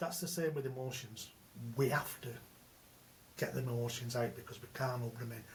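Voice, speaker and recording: Somewhat breathy, medium-pitched male speech at a fairly quick pace. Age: 60s. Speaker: men's transformation coach. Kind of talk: podcast interview. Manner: animated.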